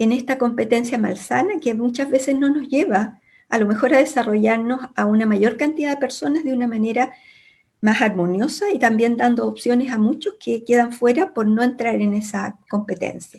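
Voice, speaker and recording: The tone is dark and mellow. Pitch variation is ordinary and the pace moderate. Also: woman. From Chile, Santiago. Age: 70s. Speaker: academic. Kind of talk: panel discussion. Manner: hesitant, with fillers.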